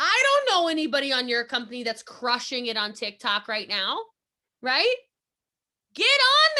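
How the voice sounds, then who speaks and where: A woman speaks in an animated tone at a fairly slow pace. Her speech has long, frequent pauses. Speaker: network marketing trainer. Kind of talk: motivational training talk. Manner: loud.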